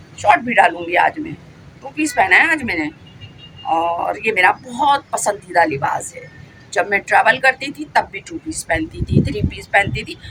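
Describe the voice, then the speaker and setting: With big swings in loudness and very wide pitch swings, a woman speaks at a fairly high pitch. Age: 60s. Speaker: vlogger. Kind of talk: casual vlog monologue. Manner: animated; talkative.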